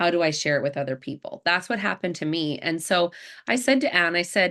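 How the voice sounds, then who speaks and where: With a Canadian accent and a plain, everyday voice, a woman of fairly low pitch speaks at a fairly quick pace against a quiet background. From Canada, Alberta. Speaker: network marketing presenter. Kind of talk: sales presentation on video call. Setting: video call.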